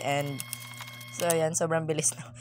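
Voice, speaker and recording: With noticeable background noise behind, the voice moves at a fairly quick pace. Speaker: vlogger. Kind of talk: vlog voice-over narration. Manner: casual, joking.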